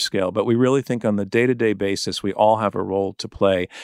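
In a very clean recording with a silent background and a dry, close sound with no echo, a man speaks at a fairly quick pace in a medium pitch with ordinary pitch variation and a plain, everyday voice. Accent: American. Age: 60s. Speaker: journalist and documentary filmmaker. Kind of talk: interview.

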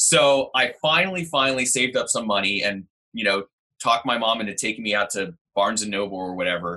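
Bright and sharp in tone, a man with an American accent talks at a medium pitch and a fairly quick pace with lively intonation. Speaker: teacher. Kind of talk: casual chat. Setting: video call.

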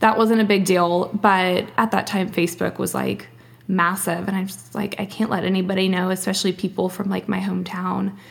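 With an American accent and vocal fry, a woman talks fairly quickly at a medium pitch in a monotone, flat delivery. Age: 20s. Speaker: teacher and blogger. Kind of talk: casual chat.

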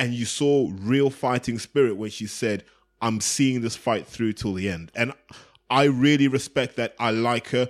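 On a very clean recording with a silent background, a man with an English accent speaks at a fairly slow pace. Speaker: boxing podcast co-host. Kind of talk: casual chat.

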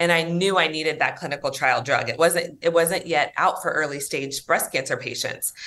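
Speaking at a moderate pace with hardly any pauses, a woman uses a fairly low pitch, a bright, sharp tone and fairly even intonation. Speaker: nonprofit president and social worker. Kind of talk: interview.

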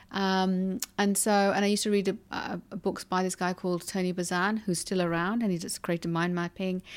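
Speaking in a London accent at a fairly quick pace with hardly any pauses, a woman holds a medium pitch in a monotone, flat intonation, captured in a very clean recording with a silent background. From London, England. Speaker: hypnotherapist and kinesiologist. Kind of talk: interview.

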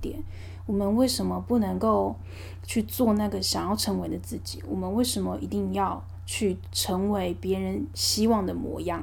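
With a Taiwanese accent, the speaker goes at a moderate pace amid audible room echo. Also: woman. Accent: Taiwanese Mandarin. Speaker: podcast host. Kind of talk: casual monologue.

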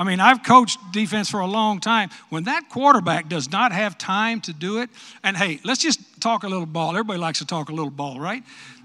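A man with a West Texas accent speaks in a raised, projected voice at a fairly quick pace. His pitch is high, his tone bright and sharp, and his intonation lively. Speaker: retired football coach and commentator. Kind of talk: speech at luncheon Q&A.

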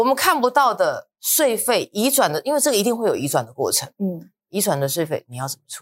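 A woman with a fairly high pitch and vocal fry makes very wide pitch swings as she speaks. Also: dry, close sound with no echo, very clean recording, silent background. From Taiwan, New Taipei (Luzhou). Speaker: real estate research director. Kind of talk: casual discussion podcast.

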